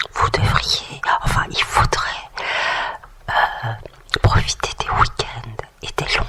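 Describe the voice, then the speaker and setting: A woman whispers at a very slow pace with noticeable background noise. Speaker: ASMR and relaxation creator. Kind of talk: ASMR beauty-tips talk. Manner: whispered, relaxing.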